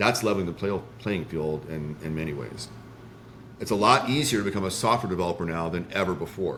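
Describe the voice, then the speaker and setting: With audible room echo, a man with a very deep, low voice and an American accent speaks at a fairly quick pace with lively intonation. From Indiana. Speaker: startup founder and CEO. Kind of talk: interview. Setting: live stream. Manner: fast.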